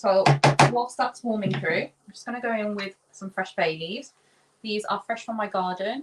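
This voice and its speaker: With an unremarkable speaking voice, a woman talks at a moderate pace and medium pitch, showing ordinary pitch variation and big swings in loudness. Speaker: chef. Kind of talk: cooking demonstration.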